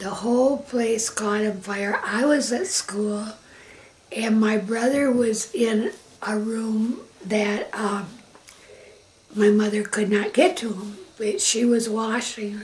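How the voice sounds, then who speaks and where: A woman with a Michigan accent speaks very slowly at a fairly high pitch with ordinary pitch variation, over noticeable background noise. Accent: US Midwest (Michigan). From Michigan, Grand Rapids area. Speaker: interviewee recounting life story. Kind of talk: family oral history interview.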